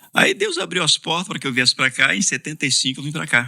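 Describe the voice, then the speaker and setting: A bright, sharp voice with vocal fry moves at a very fast pace. The recording is very clean, with a silent background. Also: man. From Brazil, Ceará (Fortaleza). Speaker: pastor. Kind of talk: casual interview.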